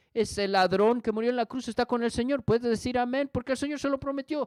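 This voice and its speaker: A man's high-pitched voice comes through dry and close, with no echo. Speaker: pastor. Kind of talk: sermon.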